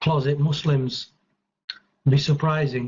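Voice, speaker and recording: With a British accent, a man speaks at a fairly slow pace in a somewhat breathy, fairly high voice and a monotone, flat intonation. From United Kingdom. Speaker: chat room participant. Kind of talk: debate statement.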